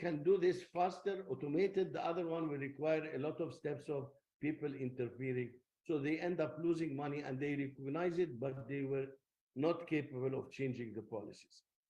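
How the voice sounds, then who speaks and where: There is audible room echo as a man with a fairly high pitch speaks at a moderate pace in a dark, mellow tone, with ordinary pitch variation. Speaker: technology lecturer. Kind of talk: lecture.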